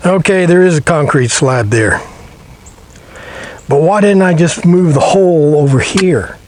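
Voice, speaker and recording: Someone with an American accent speaks at a fairly slow pace with very even loudness, ordinary pitch variation and long, frequent pauses, amid audible room echo and noticeable background noise. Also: man, high pitch for a man. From US Midwest. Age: 70s. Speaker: DIY home repair vlogger. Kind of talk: casual how-to vlog narration.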